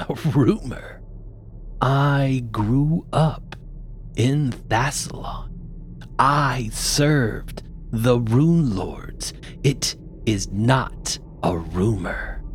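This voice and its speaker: Against clear background noise, a put-on character voice at low-to-middle pitch moves at a very slow pace with long, frequent pauses. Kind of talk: fantasy villain voice. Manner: contemptuous, imperious.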